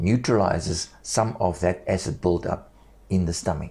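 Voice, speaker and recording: A man speaks at a moderate pace in a very deep, low voice. His tone is dark, mellow and somewhat breathy, with ordinary pitch variation. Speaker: esophagectomy survivor speaking without vocal cords. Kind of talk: personal health testimony and instruction.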